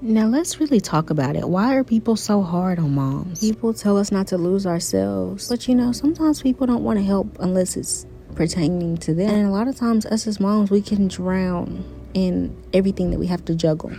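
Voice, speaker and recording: Woman's unremarkable speaking voice, medium in pitch, fairly quick with hardly any pauses and lively intonation. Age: 20s. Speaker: lifestyle and online business vlogger. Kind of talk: motivational vlog talk.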